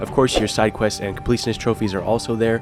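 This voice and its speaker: Fairly low-pitched male speech over background music. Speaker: gaming YouTuber. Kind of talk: game trophy guide voice-over.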